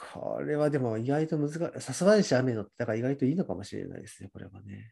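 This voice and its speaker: The voice has a dark, mellow tone and lively intonation, racing at a very fast pace with big swings in loudness. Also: man. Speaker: radio show co-host. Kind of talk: casual radio talk. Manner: relaxed, toned-down energy.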